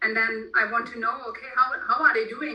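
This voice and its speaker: A woman's fairly high voice with a German accent, at a moderate pace, over noticeable background noise. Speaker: author. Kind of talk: interview. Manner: halting.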